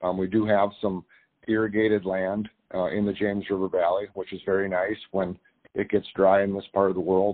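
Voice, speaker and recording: Spoken in an Upper Midwest accent, the delivery stays monotone and flat. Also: man. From North Dakota. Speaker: cattle rancher and farmer. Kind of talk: interview. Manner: halting, many fillers.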